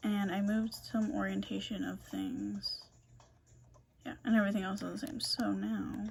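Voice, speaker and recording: At a moderate pace the speech continues, with music behind it. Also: woman. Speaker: design student. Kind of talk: gameplay walkthrough presentation. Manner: halting.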